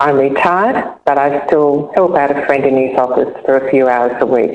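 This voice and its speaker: A woman speaks with an Australian accent. Her pitch is very deep and low, and her pace is moderate. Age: 70s. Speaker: cancer survivor and charity ambassador. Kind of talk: personal testimony. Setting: online webinar.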